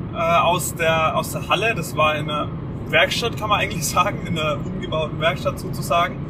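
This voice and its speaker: Noticeable background noise sits under the recording. The man keeps his intonation fairly even. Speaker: podcast co-host. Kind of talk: casual chat. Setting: in a car on the motorway. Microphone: microphone mistake, poor audio quality.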